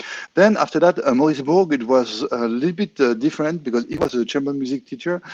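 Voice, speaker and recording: Lively intonation marks this man's very fast speech. He has a French accent. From France. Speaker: clarinetist. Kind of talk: interview. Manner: halting, many fillers.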